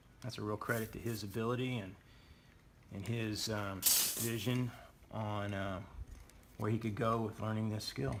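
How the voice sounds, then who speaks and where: Pausing long and often, a man speaks at a moderate pace in a fairly low pitch with fairly even intonation, and audible room echo around him. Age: 60s. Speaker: drafting instructor. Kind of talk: tutorial. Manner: casual, conversational.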